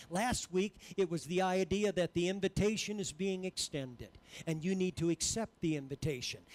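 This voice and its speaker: The tone is animated, with ordinary pitch variation and a moderate pace. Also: man, high pitch for a man. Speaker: preacher. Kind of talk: sermon. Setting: church. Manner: animated, exhorting the congregation in full flow; repeated emphatic phrases, call-and-response. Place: church. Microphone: headset.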